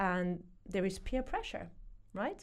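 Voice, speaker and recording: Amid audible room echo, a woman speaks at a fairly slow pace in a medium-pitched voice with a dark, mellow tone. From France. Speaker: burnout coach. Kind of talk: podcast interview.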